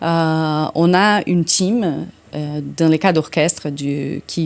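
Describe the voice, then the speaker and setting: A woman speaks at a very slow pace. Her fairly low voice keeps a fairly even intonation. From Brazil. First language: Portuguese (speaking French). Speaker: orchestra conductor. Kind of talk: interview. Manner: halting.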